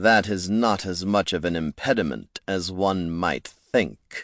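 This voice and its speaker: Over a quiet background, a man puts on a character voice with a very deep, low pitch at a fairly slow pace. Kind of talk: formal, dry, understated. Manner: calm, menacing.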